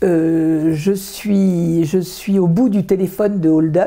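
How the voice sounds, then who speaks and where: Through noticeable background noise, a woman talks at a very slow pace with ordinary pitch variation. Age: 70s. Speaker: association vice-president, retired neuroscientist. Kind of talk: interview. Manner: hesitant, many filler sounds.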